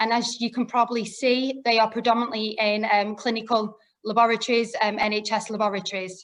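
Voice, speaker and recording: A woman with a Lancashire accent, fairly high pitch, a fairly quick pace and hardly any pauses. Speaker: product specialist presenter. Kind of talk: webinar presentation. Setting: online webinar.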